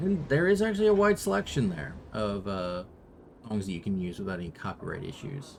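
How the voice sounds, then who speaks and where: A man is speaking softly. His pace is fairly quick. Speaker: video game streamer. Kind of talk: casual live-stream chat. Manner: soft-spoken; halting.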